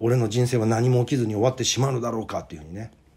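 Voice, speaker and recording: In a very clean recording with a silent background, a man speaks at a medium pitch in a somewhat breathy voice. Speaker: playwright and actor. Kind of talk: monologue video. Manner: casual.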